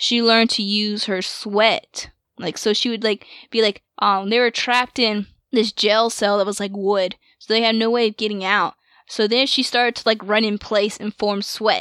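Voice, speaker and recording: A woman speaks in a fairly high, bright, sharp voice with monotone, flat intonation. The recording is very clean, with a silent background and a dry, close sound with no echo. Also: moderate pace. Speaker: podcast host. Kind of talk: casual chat.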